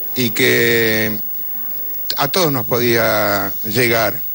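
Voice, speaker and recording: Over noticeable background noise, a man speaks in a Rioplatense accent. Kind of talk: studio panel discussion.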